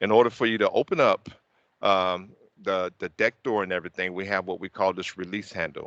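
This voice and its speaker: With a Southern US accent, a man talks at a fairly quick pace, his fairly low pitch carrying fairly even intonation. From US South. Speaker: technical trainer. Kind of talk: training session. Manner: fast.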